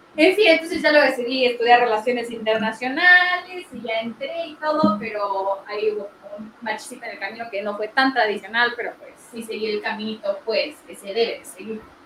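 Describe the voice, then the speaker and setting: Lively intonation at a moderate pace, with big swings in loudness and noticeable background noise. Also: woman, fairly high pitch for a woman, hardly any pauses. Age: 20s. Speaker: podcast co-host. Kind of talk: casual chat.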